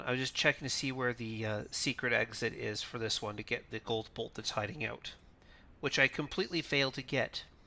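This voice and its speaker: In a raspy, put-on character voice of medium pitch, a man talks at a fairly quick pace on a very clean recording with a silent background. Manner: annoyed, frustrated.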